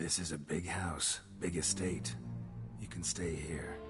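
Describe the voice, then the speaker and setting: With loud background noise behind him, a man puts on a character voice at a very deep, low pitch and a fairly slow pace. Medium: video game. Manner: terse, dry, clipped.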